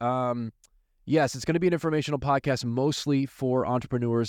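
Against a quiet background, a man with an American accent and a plain, everyday voice speaks at a medium pitch with ordinary pitch variation. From US. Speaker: attorney. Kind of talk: podcast intro.

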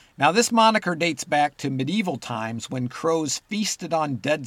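Here is a man with a normal speaking voice. He talks at a moderate pace with lively intonation. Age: 50s. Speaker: nature podcast host. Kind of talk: scripted narration.

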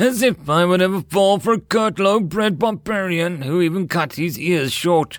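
A man uses a put-on character voice with a high pitch and ordinary pitch variation, at a moderate pace. Hissing and music sit in the background.

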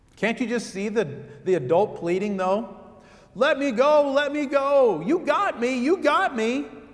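Over noticeable background noise, a man speaks at an extremely high pitch with very wide pitch swings. His pace is fairly slow. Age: 50s. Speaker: pastor. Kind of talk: sermon.

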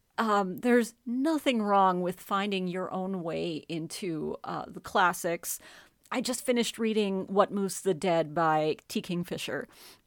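A woman talks at a fairly slow pace in an ordinary speaking voice, her pitch medium with ordinary pitch variation. The recording is very clean, with a silent background. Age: 40s. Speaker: author and narrator. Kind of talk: casual chat.

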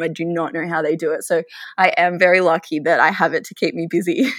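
An Australian accent comes through. The speech moves at a moderate pace. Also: woman, very clean recording, silent background. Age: 20s. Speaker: physiotherapist. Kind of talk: casual interview.

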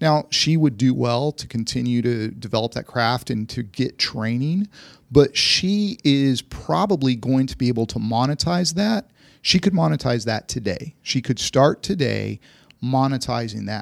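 A man with an ordinary speaking voice talks at a fairly slow pace with lively intonation. The recording is very clean with a silent background, and the sound is dry and close with no echo. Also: medium pitch for a man. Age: 50s. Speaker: investment firm chief investment officer. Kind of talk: casual chat. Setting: studio.

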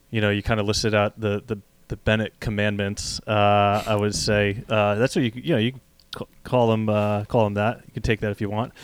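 An American accent marks this man's unremarkable speaking voice, which is fairly low-pitched and moves at a moderate pace. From New Jersey, US. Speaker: podcast host and running store co-owner. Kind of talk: casual interview chat. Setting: video call.

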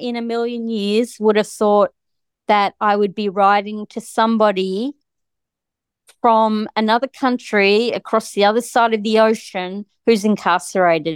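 In an Australian accent, a woman talks at a moderate pace with a fairly high pitch, the sound dry and close with no echo. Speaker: guest, wife of a wrongfully convicted man. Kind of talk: casual interview, telling her story. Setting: remote call across countries.

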